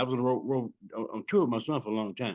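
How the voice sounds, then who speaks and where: With a quiet background, a man talks at a very fast pace. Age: 70s. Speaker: music industry veteran, rapper's father. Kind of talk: interview. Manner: halting, repeats words.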